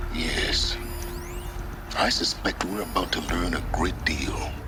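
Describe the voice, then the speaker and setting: Using a put-on character voice, a man talks at a fairly slow pace against loud background noise. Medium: machinima.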